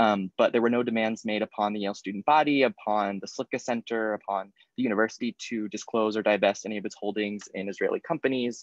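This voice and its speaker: Hardly pausing at all, a man with an American accent talks at a very fast pace in a fairly low pitch with fairly even intonation. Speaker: panel speaker, recent graduate and activist. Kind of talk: panel talk. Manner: hesitant, many fillers.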